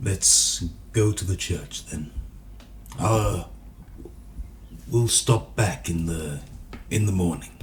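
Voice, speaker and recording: A man in a put-on character voice, very deep and low, with lively intonation, a very slow pace, long, frequent pauses, and clear background noise. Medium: actual play. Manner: quiet, earnest.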